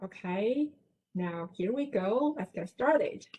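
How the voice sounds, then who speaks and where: Speaking at a very slow pace with a Chinese accent, a woman uses a fairly high, somewhat breathy voice and lively intonation. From China. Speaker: professor. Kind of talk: lecture.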